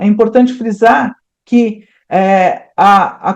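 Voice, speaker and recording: A woman's fairly high-pitched voice with an animated tone. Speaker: animal scientist and consultant giving a talk. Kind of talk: lecture.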